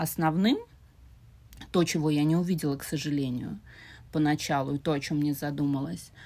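Speaking in a St Petersburg accent, a woman uses a very deep, low pitch and a dark, mellow tone, with fairly even intonation at a moderate pace. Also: very clean recording, silent background. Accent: Russian (St Petersburg). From Russia, St Petersburg. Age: 40s. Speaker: podcast guest, host's mother. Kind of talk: casual chat.

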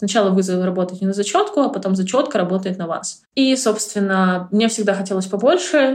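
A woman uses a plain, everyday voice at a medium pitch with ordinary pitch variation. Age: 30s. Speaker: marketer and public speaker. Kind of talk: interview.

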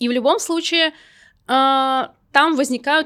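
Very clean recording of a woman talking, with a silent background. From Russian Far East, Vladivostok. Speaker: podcast host. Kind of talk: solo podcast monologue. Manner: casual, with filler words.

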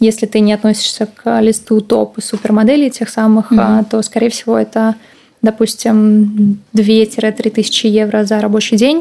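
A woman's fairly high, flat, monotone voice at a moderate pace, very even in loudness, with noticeable background noise. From Russia, St. Petersburg. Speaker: former fashion model and agent. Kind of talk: interview.

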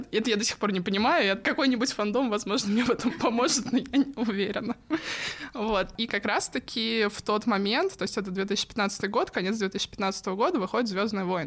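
At a moderate pace and a fairly high pitch, a woman speaks with ordinary pitch variation over noticeable background noise. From Russia, Tula. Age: late 20s or 30. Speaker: pop culture fan sharing personal story. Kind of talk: casual interview, personal story. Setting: studio.

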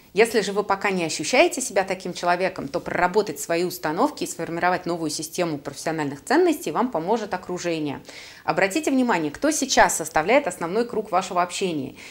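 A woman speaks at a very fast pace with very wide pitch swings. Her pitch is medium. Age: 30s. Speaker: career coach and podcast host. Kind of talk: solo podcast monologue.

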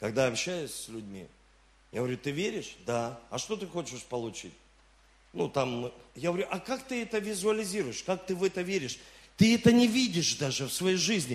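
Here a man speaks in a high pitch with very wide pitch swings and an animated tone. He keeps a moderate pace, broken by long, frequent pauses. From Rostov-on-Don, southern Russia. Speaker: pastor. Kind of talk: sermon.

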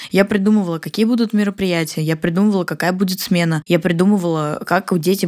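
A woman with a normal speaking voice talks at a fairly quick pace with fairly even intonation. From Siberia, Russia (Barnaul). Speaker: entrepreneur, marketing agency founder. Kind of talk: casual interview.

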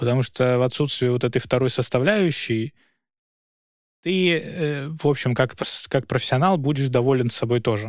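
Medium-pitched male speech with ordinary pitch variation, very even loudness and long, frequent pauses, on a very clean recording with a silent background. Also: moderate pace. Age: young. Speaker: lawyer and podcast host. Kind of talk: casual discussion.

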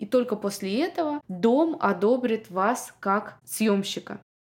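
A woman is speaking. Her voice sits fairly high. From Russia, Moscow. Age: 30s. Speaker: podcast host, immigrant mother. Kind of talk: solo podcast monologue.

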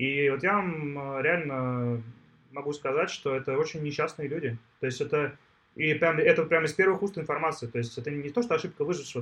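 A man's fairly high, fairly quick, normal speaking voice with ordinary pitch variation. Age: 40s. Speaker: tech entrepreneur. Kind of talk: interview.

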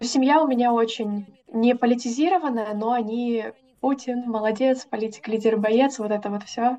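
Fairly even intonation at a moderate pace, in a normal speaking voice. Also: woman, fairly high pitch for a woman. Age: 20s. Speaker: teaching graduate. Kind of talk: interview testimony.

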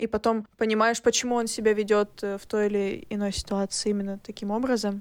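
Speaking at a fairly quick pace, a woman uses a fairly high, monotone, flat delivery. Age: 20s. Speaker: podcast guest, recent graduate. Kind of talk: casual chat.

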